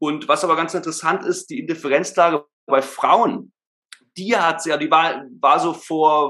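A man with a high voice and a bright, sharp tone speaks at a fairly slow pace. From Germany, Berlin. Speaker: voice and speech trainer. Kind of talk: podcast interview, explaining. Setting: remote call at laptop.

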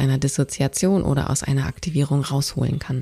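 A woman speaks at a moderate pace in a somewhat breathy voice with a dark, mellow tone and fairly even intonation. The sound is dry and close, with no echo. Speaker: podcast host and trauma educator. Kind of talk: solo educational monologue. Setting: podcast recording.

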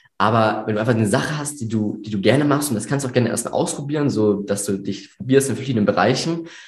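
A man talks at a very fast pace with a medium pitch and ordinary pitch variation. His voice is somewhat breathy, and room echo is audible. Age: 18. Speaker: videographer and business owner. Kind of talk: interview. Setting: studio, in person at the host's office.

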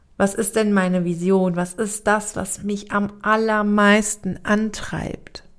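Very slowly, a woman speaks in a flat monotone at medium pitch. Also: hardly any pauses. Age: 30s. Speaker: podcast host and spiritual coach. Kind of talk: solo reflective monologue. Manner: hesitant with frequent fillers.

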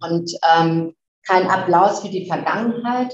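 In a plain, everyday voice, a woman talks at a fairly slow pace. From northern Germany (Flensburg). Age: 50s. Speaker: fashion company chief executive. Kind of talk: interview.

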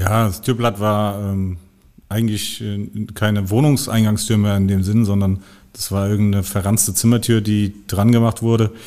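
The voice has a dark, mellow tone and monotone, flat intonation, in a very clean recording with a silent background. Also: man, fairly low pitch for a man, moderate pace. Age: 40s. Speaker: crime scene cleaning operations manager. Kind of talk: casual chat.

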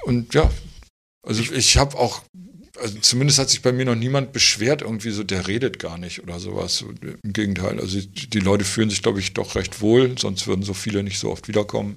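A man's fairly low voice at a fairly quick pace, with ordinary pitch variation. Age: 50s. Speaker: tattoo artist. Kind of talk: casual interview. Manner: calm, quiet.

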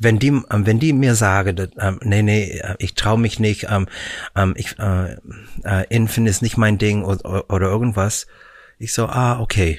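Speaking at a fairly slow pace with fairly even intonation, a man is heard on a very clean recording with a silent background. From Canada, Vancouver. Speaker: musical performer. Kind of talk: casual chat. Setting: studio. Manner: halting.

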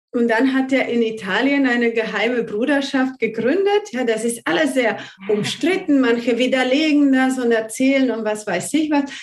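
A woman's high-pitched voice at a moderate pace, with ordinary pitch variation, hardly any pauses, audible room echo and noticeable background noise. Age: 40s. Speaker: numerology consultant. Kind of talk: interview conversation.

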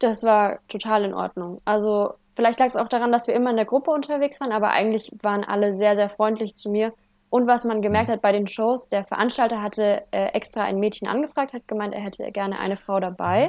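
With fairly even intonation, an unremarkable speaking voice moves along fairly quickly. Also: woman, fairly high pitch for a woman. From Germany, Franconia (Heideck, Bavaria). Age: 20s. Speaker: motorcycle trial rider and student. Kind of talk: casual interview.

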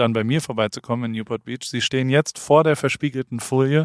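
A man with an ordinary speaking voice, medium in pitch with ordinary variation, at a fairly quick pace, in a very clean recording with a silent background and a dry, close sound with no echo. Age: 40s. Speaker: podcast co-host. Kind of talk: casual chat.

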